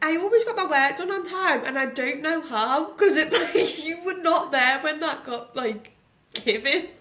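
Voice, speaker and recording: A woman with a strong Scottish accent speaks in a raised, projected voice at an extremely high pitch. Her pace is fairly slow and her intonation lively. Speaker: podcast host. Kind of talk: casual chat.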